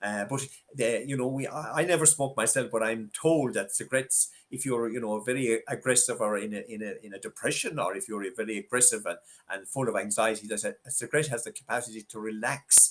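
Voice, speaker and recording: Speaking very fast in a Tipperary accent, a man uses a medium pitch with ordinary pitch variation. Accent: Irish (Tipperary). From Ireland, west Tipperary. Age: 70s. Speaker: former prison governor. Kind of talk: interview conversation. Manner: halting, many fillers.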